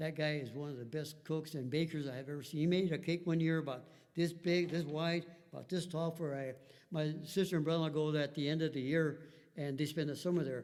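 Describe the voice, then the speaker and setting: A man talks at a very fast pace with a fairly high pitch. His intonation stays fairly even. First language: Spanish. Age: 70s. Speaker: family history interviewee. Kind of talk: interview storytelling. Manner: halting, many fillers.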